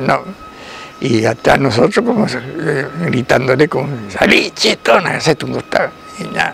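A man speaks over noticeable background noise. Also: dry sound with no echo. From Argentina. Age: 80s+. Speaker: grandfather telling stories. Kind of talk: storytelling of personal anecdotes. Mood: cheerful, amused. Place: garden.

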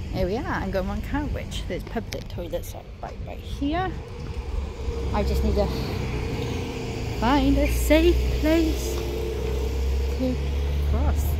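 A woman speaks at a fairly slow pace with long, frequent pauses. The sound is dry with no echo, though the background noise is loud. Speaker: vlogger. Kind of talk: casual vlog chat. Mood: cheerful, excited. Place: street. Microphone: phone near.

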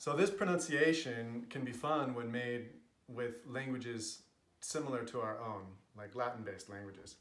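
A man with an American accent speaks at a fairly slow pace. Room echo is audible. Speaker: linguist. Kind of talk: casual talk to camera. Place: home room. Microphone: camera far.

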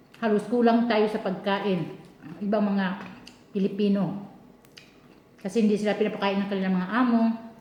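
Amid noticeable background noise and audible room echo, a woman speaks with monotone, flat intonation and long, frequent pauses. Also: medium pitch for a woman, fairly quick pace. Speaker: overseas domestic worker vlogger. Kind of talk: casual mukbang vlog. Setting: kitchen at employer's home.

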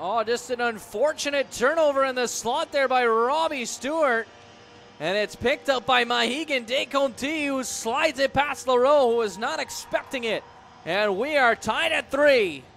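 An excited tone at a moderate pace, with ordinary pitch variation and music in the background. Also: man, extremely high pitch for a man. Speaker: hockey play-by-play commentator. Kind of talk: live sports commentary. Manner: excited on goals, rising energy.

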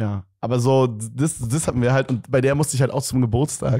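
Against a quiet background, a man speaks in a dark, mellow tone with fairly even intonation. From Germany. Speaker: podcast co-host. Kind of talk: casual chat. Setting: studio. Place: studio. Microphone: handheld.

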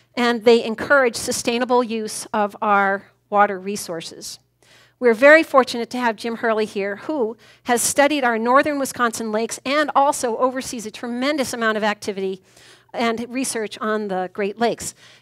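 Here a woman talks at a moderate pace with ordinary pitch variation. The background is quiet. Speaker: event organizer and emcee. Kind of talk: speaker introduction and announcements. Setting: stage with audience in a brewery. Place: hall.

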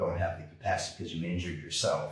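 The speaker has an American accent. Room echo is audible, and the background is quiet. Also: man. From California, San Diego (born New York). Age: 50s. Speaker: kettlebell and martial arts instructor; kettlebell coach guest. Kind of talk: interview, casual conversation. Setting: video call. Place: gym. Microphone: camera far.

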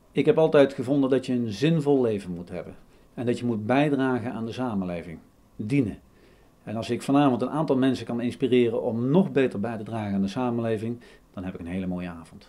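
The tone is dark and mellow, with ordinary pitch variation. The pace is fairly quick, and the loudness swings widely. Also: man. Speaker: speaker. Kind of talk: interview answer. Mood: calm, earnest.

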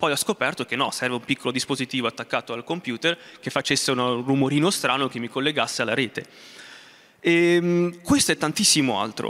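A man with a bright, sharp tone, ordinary pitch variation and a fairly quick pace. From Umbria, Italy. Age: 20s. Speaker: space researcher. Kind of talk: motivational talk. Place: hall. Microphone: handheld.

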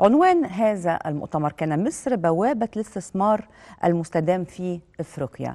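Against a quiet background, a woman with a dark, mellow tone speaks at a moderate pace with lively intonation. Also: medium pitch for a woman. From Egypt. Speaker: TV talk show presenter. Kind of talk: TV interview program hosting. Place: studio. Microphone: lapel.

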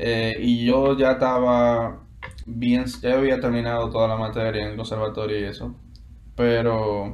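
A man with a Dominican accent speaks at a very slow pace in a flat, monotone way. Audible room echo and light background noise are present. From Dominican Republic, Santo Domingo; Dominican Republic. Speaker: guitarist and music student; interview guest. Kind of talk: interview. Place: home room. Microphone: video call.

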